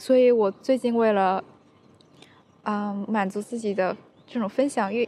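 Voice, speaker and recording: A woman speaks at a fairly slow pace with a fairly high pitch, a dark, mellow tone and ordinary pitch variation. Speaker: podcast host. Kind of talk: solo monologue. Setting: outdoors in a park. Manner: energetic, upbeat.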